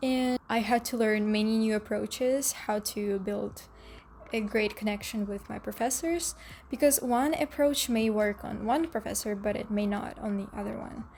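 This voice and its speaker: Pitch varies in an ordinary way at a moderate pace. The voice is somewhat breathy. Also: woman, fairly high pitch for a woman. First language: not English (English is third language). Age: young. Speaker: dental hygiene student, vlogger. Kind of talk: casual advice vlog.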